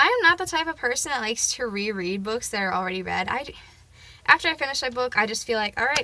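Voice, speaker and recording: A loud voice races along at a very fast pace, its pitch swinging very widely. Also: woman. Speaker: booktuber. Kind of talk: casual chat. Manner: hesitant, many fillers.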